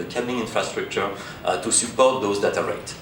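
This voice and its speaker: There is noticeable background noise and audible room echo. Through it, a man talks. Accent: French. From France. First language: French. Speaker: conference speaker, test equipment company representative. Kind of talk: conference presentation. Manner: halting, many fillers.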